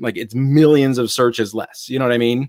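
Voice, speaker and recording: A man of medium pitch with an American accent and an unremarkable speaking voice, fairly quick and fairly even in intonation, on a very clean recording with a silent background. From Ohio, US Midwest. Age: 30s. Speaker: retail reseller and YouTuber. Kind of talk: casual interview.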